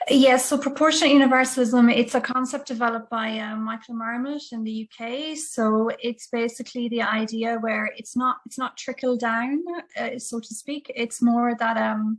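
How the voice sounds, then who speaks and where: This speaker, with an Irish accent, talks with hardly any pauses and fairly even intonation. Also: woman, high pitch for a woman, moderate pace. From Ireland, Dublin. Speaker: audience member asking question. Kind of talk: webinar Q&A. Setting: video call.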